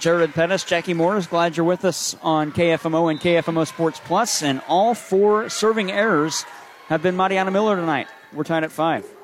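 A man with a high voice keeps his loudness very even against noticeable background noise. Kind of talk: live play-by-play commentary. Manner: rapid-fire, excited, quick score-calling; self-correcting on the fly.

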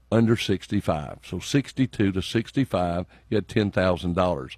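With a Southern US accent, a man speaks at a moderate pace with lively intonation, the sound dry and close with no echo against a quiet background. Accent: Southern US (Georgia). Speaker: state legislator. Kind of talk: radio interview. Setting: radio studio.

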